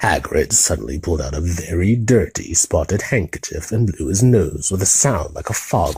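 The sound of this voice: Lively intonation in an unforced reading voice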